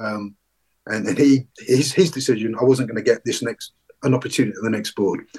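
A man talks fairly quickly in a London accent, his voice somewhat breathy. His pitch is medium, with ordinary variation. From London, England. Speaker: retired police commander. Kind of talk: interview. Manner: halting, many repeated words and fillers.

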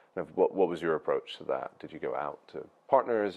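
A man speaks at a fairly quick pace. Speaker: podcast host. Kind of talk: casual interview.

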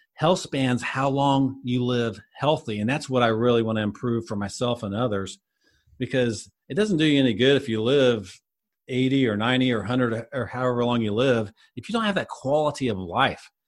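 A man talks at a fairly quick pace with an ordinary speaking voice. His pitch is medium, with ordinary pitch variation. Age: 50s. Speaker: health coach. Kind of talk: interview.

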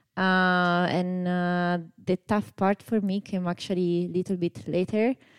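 In a very clean recording with a silent background and a dry, close sound with no echo, a woman with an Italian accent speaks at a medium pitch. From Italy. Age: 30s. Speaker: amateur runner. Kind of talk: casual chat.

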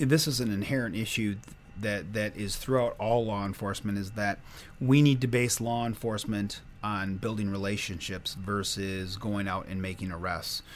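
A man speaks with an American accent at a moderate pace. His pitch is fairly low, with ordinary variation. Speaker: hospital security director. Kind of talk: interview.

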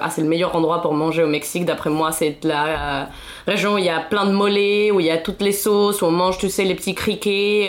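Over noticeable background noise, a woman talks at a medium pitch with fairly even intonation. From Mexico City. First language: Spanish (speaking French). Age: 20s. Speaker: podcast guest. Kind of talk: casual chat.

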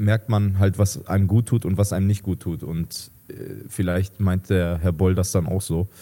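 Slow-paced and fairly low in pitch, a man speaks in a dark, mellow tone. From Germany, Duisburg (Ruhr area). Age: 30s. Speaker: professional ice hockey player. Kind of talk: interview.

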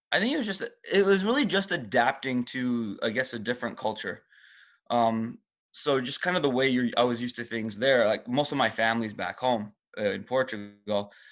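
In a normal speaking voice, a man talks at a fairly quick pace with lively intonation and a medium pitch. The background is quiet. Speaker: CrossFit gym head coach and co-owner. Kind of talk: casual interview conversation.

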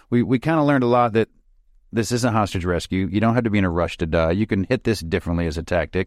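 Very fast speech in an American accent comes with a dry, close sound with no echo on a very clean recording with a silent background. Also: man. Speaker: retired special operations soldier and author. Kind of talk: interview conversation. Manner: casual.

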